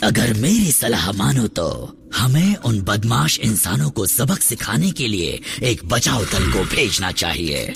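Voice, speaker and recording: A put-on character voice at a fairly slow pace, with hardly any pauses, over clear background noise. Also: man, medium pitch for a man. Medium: fan dub. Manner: wheedling, obsequious.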